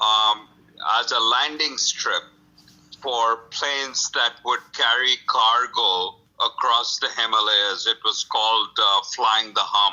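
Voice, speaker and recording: This man talks at a very slow pace with a Bengali accent, his loudness very even throughout. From India, Calcutta (West Bengal). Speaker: author. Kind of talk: interview. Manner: hesitant, many fillers.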